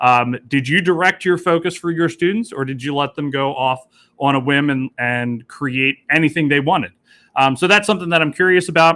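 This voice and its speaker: A man with a fairly high pitch uses ordinary pitch variation and a bright, sharp tone. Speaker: teacher leading professional development session. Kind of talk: online workshop facilitation. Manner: fast.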